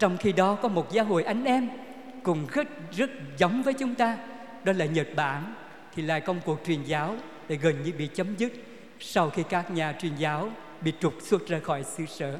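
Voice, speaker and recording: Taking long, frequent pauses, a man speaks at a fairly slow pace with a high pitch and lively intonation amid noticeable background noise. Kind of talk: sermon. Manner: formal.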